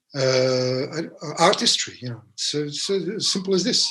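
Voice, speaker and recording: A man's fairly high-pitched voice with ordinary pitch variation, over noticeable background noise. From Serbia, Belgrade. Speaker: jazz pianist. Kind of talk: interview conversation. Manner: halting, many repetitions and fillers.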